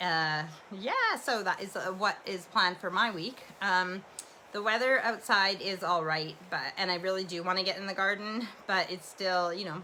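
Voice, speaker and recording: Against noticeable background noise, a woman with a Canadian accent speaks at a moderate pace and medium pitch, her intonation fairly even. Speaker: livestream host. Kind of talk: casual chat. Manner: loud; rambling, relaxed with fillers.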